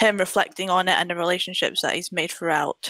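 A woman's bright, sharp voice at medium pitch, with a British accent, in a dry, close sound with no echo. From UK. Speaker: film blogger. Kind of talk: casual chat.

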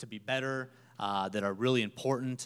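A man's unremarkable speaking voice, medium in pitch with ordinary variation, at a fairly quick pace. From Minnesota. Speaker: nonprofit staff member. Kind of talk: church interview testimony.

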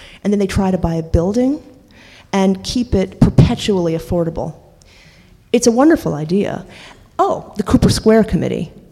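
An American accent from a woman at a medium pitch and moderate pace, with lively intonation, long, frequent pauses and noticeable background noise. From New York City (Washington Heights). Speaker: painter and housing activist. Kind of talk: panel discussion.

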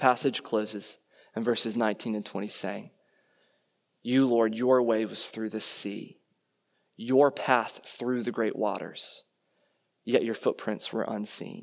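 Recorded very cleanly against a silent background, a man with an American accent speaks in a medium pitch at a fairly slow pace, his intonation monotone and flat, with long, frequent pauses and big swings in loudness. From US, Virginia (Loudoun County). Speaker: pastor. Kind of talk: sermon.

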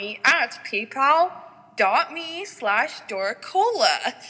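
A woman speaks at a very slow pace in a raised, projected voice, her pitch swinging very widely over noticeable background noise. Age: 20s. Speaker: exotic dancer. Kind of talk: casual interview chat. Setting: remote recording, not face to face. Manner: enthusiastic.

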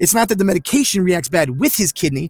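A speaker with an American accent talks at a very fast pace, with very wide pitch swings. The sound is dry and close, with no echo. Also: man. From Florida (Orlando area). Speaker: podcast host, military veteran, former chef. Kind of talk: casual monologue. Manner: halting, many repetitions.

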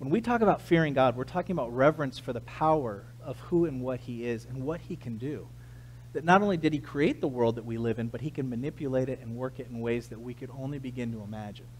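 A somewhat breathy male voice at a medium pitch, very fast, with ordinary pitch variation and big swings in loudness. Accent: American. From US West Coast, San Diego, California. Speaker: pastor. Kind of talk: sermon.

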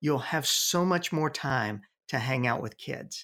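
An unremarkable speaking voice from a man, fairly slow in pace, with lively intonation. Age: 60s. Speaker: youth ministry veteran and consultant. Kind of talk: interview. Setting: home office.

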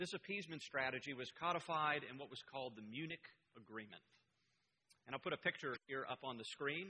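Dry and close with no echo, a man's fairly high voice moves at a fairly quick pace. His pitch varies in an ordinary way. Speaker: church elder preaching. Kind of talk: sermon. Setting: church with congregation.

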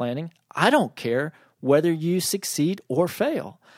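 With a dry, close sound with no echo, a man speaks in a fairly high pitch with an unremarkable speaking voice. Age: 40s. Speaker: podcast host and strategic planning consultant. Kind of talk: solo business podcast monologue. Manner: casual, conversational with filler words.

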